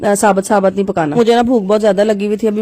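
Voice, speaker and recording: Noticeable background noise behind a woman's medium-pitched voice at a moderate pace. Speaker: home cooking vlogger. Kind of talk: cooking tutorial vlog. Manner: casual, chatty.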